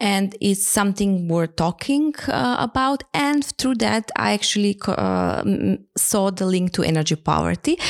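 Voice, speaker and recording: Speaking with a Macedonian accent at a fairly slow pace, a woman keeps very even loudness and hardly any pauses in a dry, close sound with no echo. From North Macedonia, Skopje. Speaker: energy poverty researcher. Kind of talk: interview. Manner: halting.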